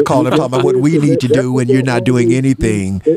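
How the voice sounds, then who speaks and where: Very fast speech from a man of medium pitch over noticeable background noise. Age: 70s. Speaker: radio talk show host. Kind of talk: call-in talk radio. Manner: animated.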